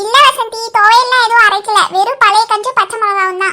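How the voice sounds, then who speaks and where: A woman's squeaky, cartoonish character voice at an extremely high pitch with fairly even intonation. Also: moderate pace. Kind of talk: cartoon comedy. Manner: brisk, bossy.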